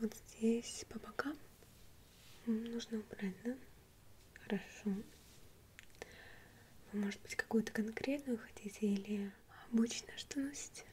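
A soft-spoken woman at a fairly slow pace, with long, frequent pauses, fairly even intonation and light background noise. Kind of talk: soft-spoken role-play, ASMR style. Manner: soft, quiet ASMR speaking voice. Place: home room.

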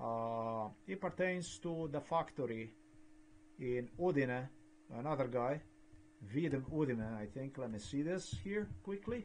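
At a fairly slow pace, a man speaks at a medium pitch with lively intonation and a slightly mellow tone.

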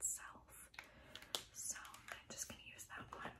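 A woman whispers softly, keeping a moderate pace. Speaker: beauty vlogger. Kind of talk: casual vlog chat. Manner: soft lo-fi ASMR whisper. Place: home room. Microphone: phone near.

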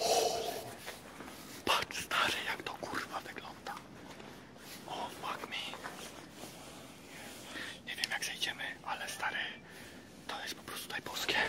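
Speech comes at a fairly slow pace with long, frequent pauses over loud background noise. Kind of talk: casual vlog chat. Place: factory. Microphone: phone near.

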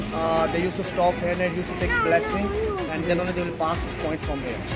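A man speaks with loud music in the background. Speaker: travel vlogger. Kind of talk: casual vlog chat. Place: street. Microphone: phone near.

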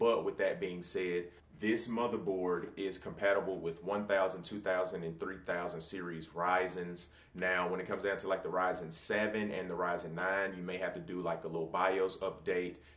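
A man speaks at a moderate pace in a very deep, low voice, his intonation monotone and flat, with audible room echo around him. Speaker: tech reviewer. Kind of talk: product review talk. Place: home room.

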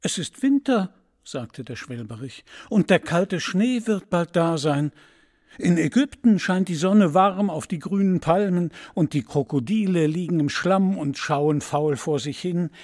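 A man's high-pitched voice at a fairly slow pace, lively in intonation, with a dry, close sound, no echo, and a very clean recording over a silent background. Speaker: voice actor. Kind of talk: audiobook fairy tale reading.

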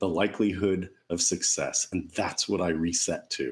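A man speaking at a moderate pace. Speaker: panel moderator and speaker at a dental wellness event; panel moderator, speaker. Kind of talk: motivational presentation and panel moderation. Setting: virtual event. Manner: animated. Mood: reflective, positive. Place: home room. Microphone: webcam.

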